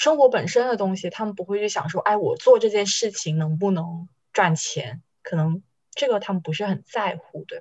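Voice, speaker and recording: A woman talks in a normal speaking voice at a moderate pace and a medium pitch. Her intonation is lively, and her loudness swings widely. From Shenzhen, Guangdong. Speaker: podcast co-host. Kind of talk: casual chat.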